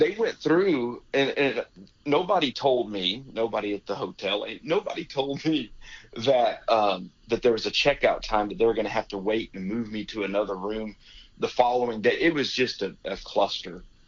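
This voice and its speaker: Speaking at a moderate pace with lively intonation, a man with a medium-pitched voice talks in an American accent. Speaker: rodeo announcer. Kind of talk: interview answer, storytelling. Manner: casual, halting.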